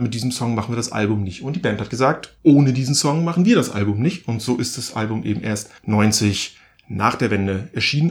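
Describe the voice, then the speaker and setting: A man's somewhat breathy, medium-pitched voice, at a fairly quick pace with lively intonation. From East Germany. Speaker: podcast co-host. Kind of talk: casual chat.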